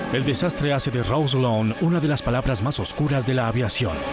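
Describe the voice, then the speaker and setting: With music in the background, a man in a Latin American accent talks at a medium pitch and a fairly quick pace, with very even loudness and ordinary pitch variation. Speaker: voice actor. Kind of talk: documentary narration.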